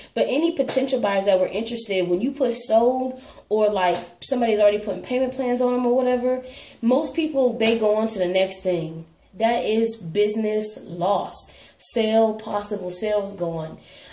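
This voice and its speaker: Noticeable background noise and audible room echo surround a woman's voice. Her pitch is fairly high with ordinary variation. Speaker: reborn doll collector vlogger. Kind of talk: casual chat. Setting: home. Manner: fast.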